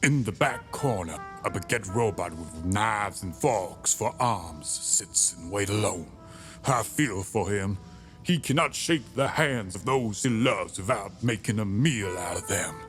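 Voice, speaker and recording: A put-on character voice speaks at a moderate pace over clear background music. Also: man, fairly low pitch for a man. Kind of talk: comic noir parody narration. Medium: read story. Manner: theatrical, self-aggrandizing.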